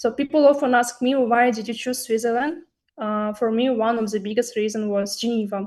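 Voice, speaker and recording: At a fairly quick pace, a woman with a non-native accent speaks in a fairly high pitch with fairly even intonation. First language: not English. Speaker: student speaker at a university webinar. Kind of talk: webinar talk. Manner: hesitant, with fillers and restarts.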